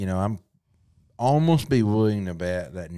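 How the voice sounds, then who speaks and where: A man with a Southern US accent speaks at a moderate pace in a fairly low voice, his intonation lively. The recording is very clean, with a silent background. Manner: casual, conversational.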